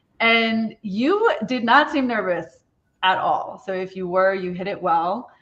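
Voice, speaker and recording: A woman's ordinary speaking voice, medium in pitch with ordinary pitch variation, at a fairly slow pace. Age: middle-aged. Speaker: assistant director. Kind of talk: casual chat.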